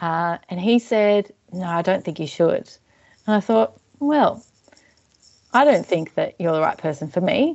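In an Australian accent, a woman speaks fairly slowly at a medium pitch, with very wide pitch swings and long, frequent pauses. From Australia, Melbourne southeastern suburbs. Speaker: arts organisation manager. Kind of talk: interview.

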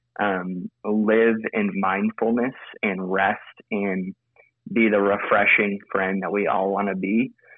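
At a very slow pace, a man talks with a fairly low pitch. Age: 20s. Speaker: pastor. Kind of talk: casual chat.

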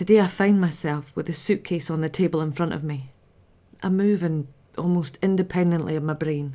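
Her pitch fairly low, a woman speaks at a moderate pace with fairly even intonation. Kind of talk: dramatic monologue, reflective grief.

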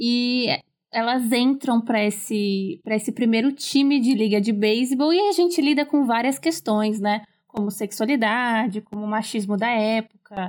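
A woman's fairly high, a normal speaking voice with ordinary pitch variation at a fairly slow pace. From São Paulo city, Brazil. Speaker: content creator and artist. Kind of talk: casual chat.

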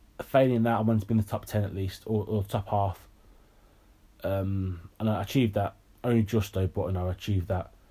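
The man's voice is fairly low and somewhat breathy, moving at a fairly quick pace. The recording is very clean, with a silent background. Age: 20s. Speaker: podcast host. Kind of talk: personal monologue. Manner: halting.

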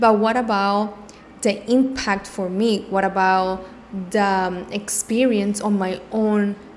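A woman at a very slow pace, medium in pitch, with monotone, flat intonation. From Cuba. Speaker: mindfulness and self love coach, podcast host. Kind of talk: solo podcast monologue, casual and reflective. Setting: home office.

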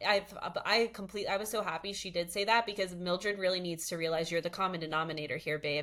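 Her voice bright and sharp at a medium pitch, a woman talks at a fairly quick pace in an animated, playful tone with ordinary pitch variation, on a very clean recording with a silent background. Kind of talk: casual chat, podcast discussion of reality TV.

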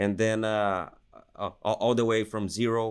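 A man with a Portuguese accent speaks with monotone, flat intonation. The recording is very clean, with a silent background. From Brazil. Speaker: university professor and veterinary expert. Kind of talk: interview.

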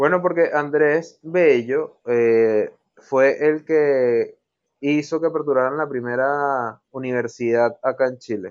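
A man at a very slow pace, fairly high in pitch, with ordinary pitch variation. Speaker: podcast co-host. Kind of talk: casual chat.

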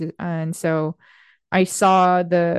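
A woman's fairly low voice with fairly even intonation, a dry, close sound with no echo and a quiet background. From Korean, raised partly in West Africa. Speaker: physician-scientist. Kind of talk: interview conversation.

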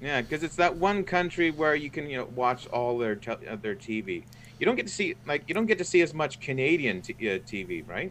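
A man speaks at a fairly high pitch and moderate pace with vocal fry. His pitch swings very widely. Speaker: guest, graphic artist.

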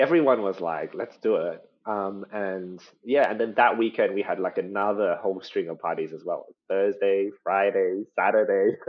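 The speaker is a man with an Australian accent. He talks at a moderate speed. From Australia, Sydney. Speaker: guest. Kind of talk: casual chat. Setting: video call.

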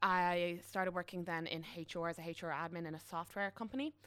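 On a very clean recording with a silent background, a woman speaks at a moderate pace with a fairly low pitch. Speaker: graduate recruitment specialist. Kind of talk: casual interview.

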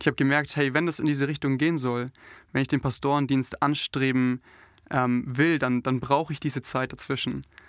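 A man's fairly high, monotone, flat voice at a fairly quick pace, dry and close with no echo against a quiet background. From southern Germany, Allgäu (Bavarian Swabia). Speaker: pastor trainee. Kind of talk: interview. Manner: hesitant, many fillers.

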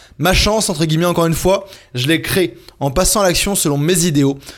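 Fairly quick speech from a man with a high pitch. His pitch varies in an ordinary way. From France. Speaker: podcast host, freelance entrepreneur. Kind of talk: scripted solo podcast narration.

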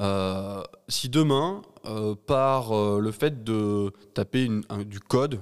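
A man at a medium pitch with ordinary pitch variation, on a very clean recording with a silent background. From France, Ardèche. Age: 30s. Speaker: cybersecurity entrepreneur. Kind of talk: interview. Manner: halting, many repetitions.

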